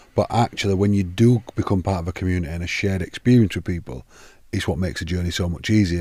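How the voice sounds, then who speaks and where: A man with a northern English accent and a very deep, low pitch speaks at a very fast pace in a dark, mellow tone with fairly even intonation, on a very clean recording with a silent background. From northern England. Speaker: podcast host. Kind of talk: casual podcast interview.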